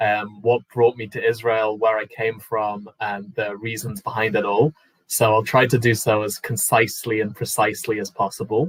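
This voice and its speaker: Somewhat breathy and at medium pitch, a man speaks with a British accent and fairly even intonation in a dry, close sound with no echo. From UK. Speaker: panelist sharing immigration story. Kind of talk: personal talk on a panel.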